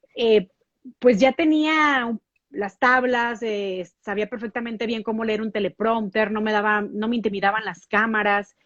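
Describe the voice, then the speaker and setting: At a fairly slow pace, a woman with a fairly high pitch speaks with ordinary pitch variation. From Mexico. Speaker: TV news anchor. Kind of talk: interview.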